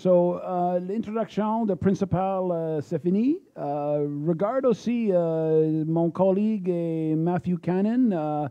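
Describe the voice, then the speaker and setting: A man with an English accent talks at a very slow pace in a high pitch, with ordinary pitch variation and hardly any pauses. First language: English (speaking French). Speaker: mining exploration executive. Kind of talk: conference presentation. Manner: halting, many fillers.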